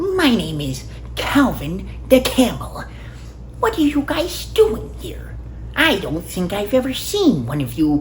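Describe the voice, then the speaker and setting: Over clear background noise, a man puts on a character voice and talks at a fairly slow pace. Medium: solo performance.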